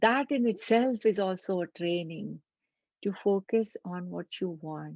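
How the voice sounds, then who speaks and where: A plain, everyday voice from a woman at a medium pitch, at a fairly slow pace with big swings in loudness, in a dry, close sound with no echo. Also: ordinary pitch variation. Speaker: meditation guide. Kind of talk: guided meditation. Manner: slow, calm.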